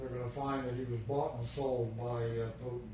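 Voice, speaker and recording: Noticeable background noise sits behind a man at a medium pitch. He speaks at a moderate pace with fairly even intonation. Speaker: grandfather telling family stories. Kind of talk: recorded family storytelling, casual conversation.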